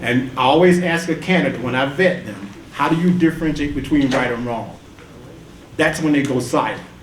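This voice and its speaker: A man with an American accent talks at a fairly quick pace and fairly high pitch, with ordinary pitch variation. Noticeable background noise and audible room echo are present. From US South (Atlanta, Georgia). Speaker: engineer and tax reform activist. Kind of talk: panel discussion remarks. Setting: conference panel with audience.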